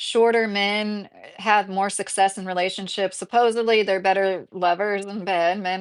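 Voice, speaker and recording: In a Midwestern accent, a woman speaks at a fairly high pitch with ordinary pitch variation. The background is quiet. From southern Indiana. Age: 30s. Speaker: YouTube commentator. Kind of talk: livestream chat reading comments. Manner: casual, many fillers.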